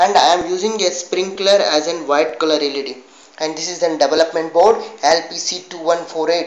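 Someone speaks fairly slowly amid audible room echo. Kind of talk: project demonstration. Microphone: phone near.

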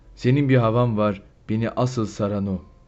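A man's somewhat breathy voice at a fairly slow pace, with fairly even intonation. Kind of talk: poetry reading.

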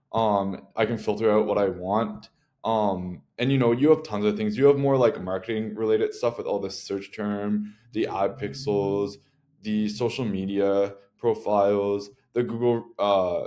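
This man's voice sits fairly low in pitch. He talks at a fairly slow pace with fairly even intonation. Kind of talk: tutorial. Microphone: webcam.

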